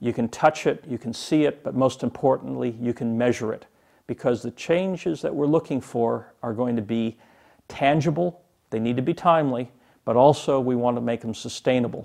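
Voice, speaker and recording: A man with an unremarkable speaking voice in an American accent, medium pitch, ordinary pitch variation and a moderate pace, over a quiet background. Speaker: public speaker and political commentator. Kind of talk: keynote speech on organizational change.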